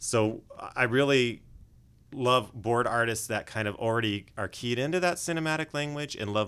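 The speaker talks at a fairly quick pace with lively intonation and a Californian accent. The recording is very clean, with a silent background. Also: man. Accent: General American (Californian). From US West, Los Angeles. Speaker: animation director. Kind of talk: interview. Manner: clear and polished.

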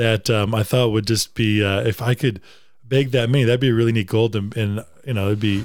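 On a very clean recording with a silent background, a man with an American accent uses an unremarkable speaking voice at a medium pitch with ordinary pitch variation. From Wisconsin. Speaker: upland bird hunter. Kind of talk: casual chat.

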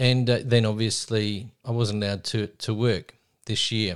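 On a very clean recording with a silent background, a man with an Australian accent speaks at a fairly low pitch with fairly even intonation. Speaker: teacher and minor party president. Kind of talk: casual chat. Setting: home. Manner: halting.

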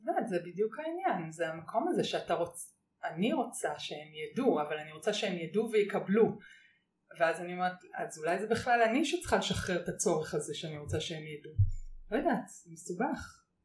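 A woman's somewhat breathy, medium-pitched voice with lively intonation, big swings in loudness and a moderate pace. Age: 40s. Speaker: author writing a book on open relationships. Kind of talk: casual chat.

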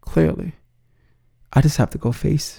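Marked by vocal fry and a dark, mellow tone, the voice speaks at a fairly slow pace with an American accent. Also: man. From New York City (Bronx). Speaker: podcast host, suicide survivor. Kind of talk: personal storytelling monologue.

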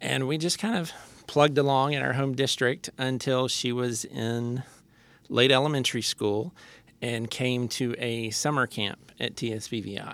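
At a moderate pace, a man with an American accent uses an ordinary speaking voice at a medium pitch and fairly even intonation. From Texas, Lubbock. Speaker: association executive director and parent. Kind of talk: interview.

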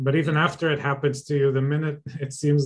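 This man's voice is fairly high and somewhat breathy. He talks at a fairly quick pace in a monotone, flat intonation. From Israel. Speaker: podcast host, academic. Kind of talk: interview. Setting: video call.

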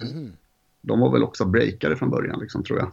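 This man talks at a moderate pace with vocal fry and very wide pitch swings. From Sweden, Jönköping then Gothenburg. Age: 40s. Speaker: graffiti artist. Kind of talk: casual interview.

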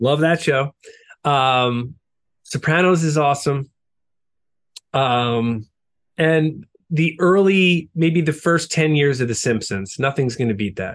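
Pausing long and often, a man with a New York accent speaks very slowly in a fairly high pitch with ordinary pitch variation. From US Northeast (Long Island, New York). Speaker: rock musician. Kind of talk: interview.

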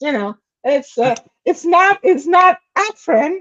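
A woman talks at a moderate pace with lively intonation, in a dry, close sound with no echo. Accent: Persian. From Iran. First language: Persian. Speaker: author. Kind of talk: casual interview.

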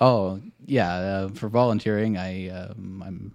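Against a quiet background, a normal speaking voice holds a fairly even intonation. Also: man. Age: 30s. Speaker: search and rescue volunteer. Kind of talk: casual chat. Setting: kitchen table.

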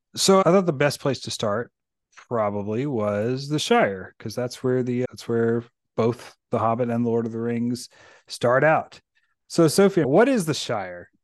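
Against a quiet background, a man with an American accent speaks in a normal speaking voice at a medium pitch, fairly slowly and with lively intonation. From rural Virginia, US. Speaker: podcast host. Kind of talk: casual chat.

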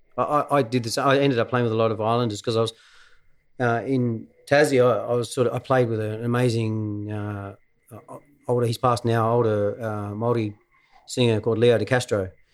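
This man talks at a fairly quick pace with an Australian accent. His medium-pitched voice stays monotone, with flat intonation. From Tasmania, Australia (Devonport). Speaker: musician and musical director. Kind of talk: casual chat.

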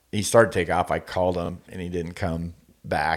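A fairly quick pace in an American accent, on a very clean recording with a silent background. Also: man. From Northern California. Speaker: hunting podcast co-host. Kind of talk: casual chat.

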